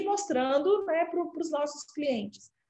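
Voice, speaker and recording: A woman in a Minas Gerais accent speaks with lively intonation and a dark, mellow tone. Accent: Minas Gerais accent, kept. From Brazil, Minas Gerais. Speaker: healthcare company CEO. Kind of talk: interview.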